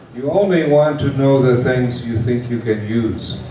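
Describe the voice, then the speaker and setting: A man talks fairly slowly in a room with audible echo and noticeable background noise. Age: 60s. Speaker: English teacher. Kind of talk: lecture. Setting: large class with an interpreter. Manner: slow, simple phrasing with repetition.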